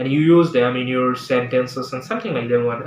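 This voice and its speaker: A man with a Bangladeshi accent, ordinary pitch variation, and noticeable background noise. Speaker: English teacher. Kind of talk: tutorial. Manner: halting.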